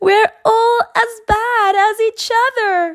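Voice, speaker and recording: Putting on a squeaky character voice at an extremely high pitch, a woman speaks at a very slow pace. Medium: read story. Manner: firm, bossy.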